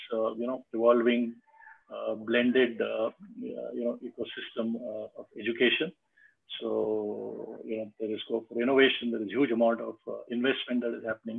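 Here a man speaks at a moderate pace. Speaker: business consultant and webinar host. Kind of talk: moderated panel discussion. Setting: video call. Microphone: video call.

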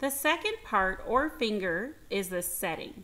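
A passage is read aloud in a natural voice.

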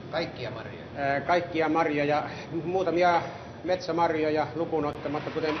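A man's voice sits at a fairly high pitch, with noticeable background noise behind it. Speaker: berry processing factory representative. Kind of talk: interview answer. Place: factory. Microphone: old recording.

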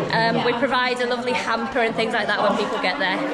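A woman at a fairly quick pace, with crowd noise in the background. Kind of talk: interview answer. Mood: sincere, emotional but composed. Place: hall. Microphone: phone near.

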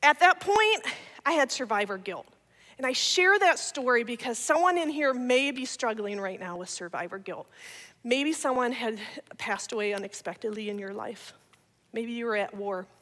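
A woman with an American accent speaks in a high pitch with a bright, sharp, animated tone. Her pitch swings very widely and her loudness rises and falls sharply against a quiet background. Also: moderate pace. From Ohio. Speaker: speaker, comedian. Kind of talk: testimony talk to church audience. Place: church. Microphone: headset.

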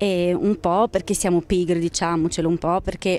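A woman with a Romanian accent talks at a fairly quick pace with fairly even intonation. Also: dry sound with no echo. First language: Romanian (speaking Italian). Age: 20s. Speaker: journalist and translator; journalist. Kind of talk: interview. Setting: book fair. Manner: halting. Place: street. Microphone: handheld.

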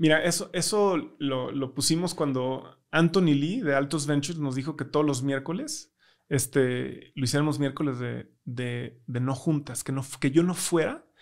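Fairly slow delivery with ordinary pitch variation over a quiet background. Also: man, fairly high pitch for a man. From Mexico. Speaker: tech startup founder; podcast guest. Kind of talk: interview conversation. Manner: hesitant, many fillers. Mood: relaxed, reflective. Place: studio. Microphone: studio mic.

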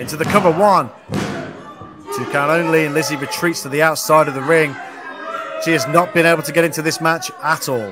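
Over music in the background, a man with a fairly high pitch talks at a fairly quick pace with fairly even intonation and long, frequent pauses. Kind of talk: live wrestling commentary. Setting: ringside at a live event.

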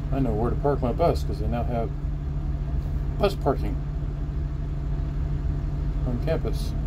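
A man at a moderate pace, with loud background noise. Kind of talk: casual vlog chat. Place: bus. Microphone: phone near.

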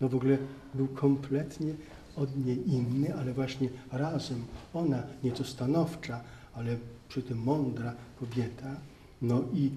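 A man speaks at a fairly slow pace, leaving long, frequent pauses, and his voice is somewhat breathy. Audible room echo and light background noise sit behind him. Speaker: priest lecturer. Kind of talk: lecture. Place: hall. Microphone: handheld.

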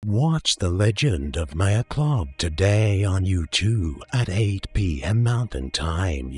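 A man with a fairly low pitch at a very slow pace, set against a quiet background. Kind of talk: parody movie trailer voice-over. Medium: voice reel. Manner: hyped, rambling, jokey.

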